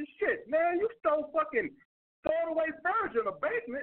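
A man speaks at a moderate pace with an extremely high pitch. His voice moves in very wide pitch swings. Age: 30s. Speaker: dating advice podcast host. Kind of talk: call-in show. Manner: animated.

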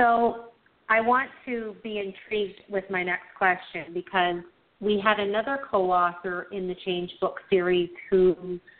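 A woman with a Canadian accent, medium pitch, fairly even intonation and a fairly slow pace. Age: 50s. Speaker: radio host. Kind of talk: interview.

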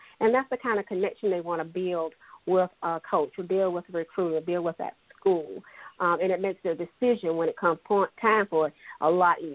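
A woman speaks at a fairly quick pace and a fairly low pitch, with ordinary pitch variation. She has a normal speaking voice. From Pee Dee region, South Carolina. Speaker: high school sports media host. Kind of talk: radio interview.

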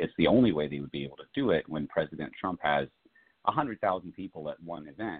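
Very deep, low male pitch with lively intonation at a fairly quick pace. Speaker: author and commentator. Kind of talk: interview. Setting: phone call.

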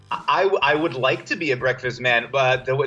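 Music plays in the background as a man speaks at medium pitch. His pace is fairly quick, with ordinary pitch variation. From New York City (Staten Island). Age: 30s. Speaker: sports writer. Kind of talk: casual chat. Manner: halting.

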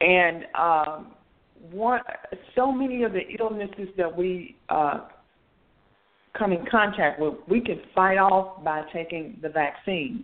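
Lively intonation carries speech at a very slow pace with long, frequent pauses. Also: woman, medium pitch for a woman. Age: 60s. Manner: halting.

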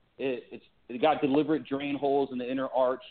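A man with an American accent, medium pitch, an ordinary speaking voice and a fairly quick pace. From California. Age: 30s. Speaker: army veteran and shoe company founder. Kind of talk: interview.

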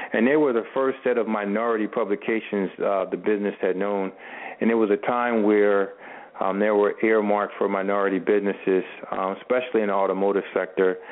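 Noticeable background noise underlies a man speaking at a fairly quick pace in a fairly low pitch, with fairly even intonation. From US Northeast (Camden, New Jersey, near Philadelphia). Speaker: automotive media entrepreneur, former college football player. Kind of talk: radio interview.

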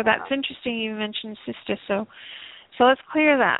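Fairly high female speech with ordinary pitch variation. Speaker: energy healer hosting call-in show. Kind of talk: live call-in healing session. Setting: internet radio with phone callers. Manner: hesitant, many filler ums.

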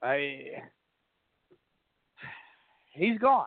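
A man talks very slowly in a fairly high pitch with big pitch swings. The sound is dry and close, with no echo.

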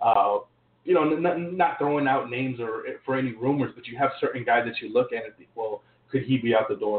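The talking moves at a fairly quick pace. It is a normal speaking voice. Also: man. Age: 20s. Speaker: sports podcast host. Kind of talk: casual sports talk.

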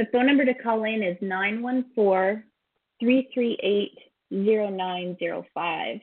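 The pace is fairly slow, with ordinary pitch variation. It is a normal speaking voice. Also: woman, fairly high pitch for a woman. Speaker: podcast co-host. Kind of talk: casual chat.

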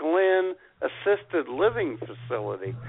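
At a slow pace, a man talks with vocal fry, a slightly husky edge, and big pitch swings. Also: fairly high pitch for a man.

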